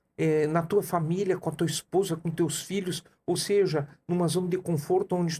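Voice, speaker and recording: This man has a high pitch and a dark, mellow tone. His intonation stays fairly even. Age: 60s. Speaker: coach and entrepreneur. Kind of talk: podcast interview.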